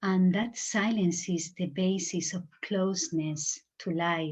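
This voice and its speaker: A somewhat breathy, fairly low woman's voice with a Spanish accent and fairly even intonation, against a quiet background. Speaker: meditation teacher. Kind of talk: spiritual talk. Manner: halting, searching for words.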